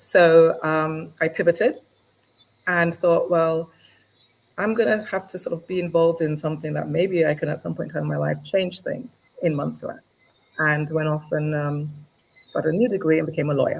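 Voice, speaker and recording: Moderate pace and fairly even intonation in an English accent. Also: woman, fairly low pitch for a woman. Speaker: lawyer. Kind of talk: interview. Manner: hesitant, many fillers.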